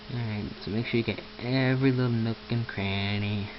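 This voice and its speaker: At a moderate pace, a man speaks with fairly even intonation against noticeable background noise. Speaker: amateur tutorial maker. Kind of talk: screen-recorded software tutorial. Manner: casual, hesitant with self-corrections.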